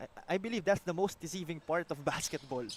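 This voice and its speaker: With a Filipino accent, a high-pitched man talks at a moderate pace with ordinary pitch variation over noticeable background noise. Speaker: basketball play-by-play commentator. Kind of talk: live sports commentary. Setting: live broadcast at a basketball venue.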